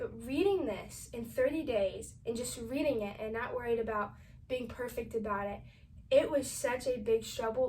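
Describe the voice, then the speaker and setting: A woman's put-on, raspy character voice, fairly high in pitch, at a moderate pace. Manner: talking very fast.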